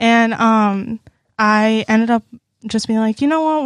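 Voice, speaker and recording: A woman with a plain, everyday voice speaks at a moderate pace and a fairly high pitch, her intonation fairly even. The sound is dry and close, with no echo. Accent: American. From Texas, Houston area. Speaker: university student. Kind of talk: casual chat.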